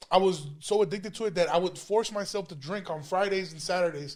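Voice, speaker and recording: The man talks with fairly even intonation. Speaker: stand-up comedian. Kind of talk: casual chat. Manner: fast.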